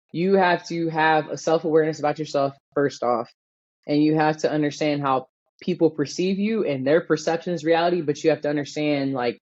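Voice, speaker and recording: Here a woman with an American accent talks at a fairly quick pace. Her pitch is very deep and low. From Florida, Miami area. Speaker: NBA athletic trainer. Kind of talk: podcast interview. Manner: loud, energetic.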